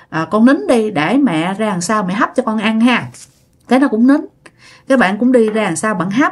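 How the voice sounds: The speaker reads in a natural reading voice.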